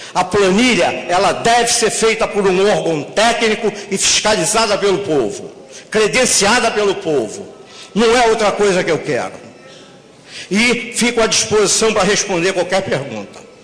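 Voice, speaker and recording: There is noticeable background noise and audible room echo behind a man's high-pitched voice. His loudness stays very even, and his pitch varies in an ordinary way. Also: moderate pace. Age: 60s. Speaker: bus company executive. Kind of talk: public hearing speech. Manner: animated.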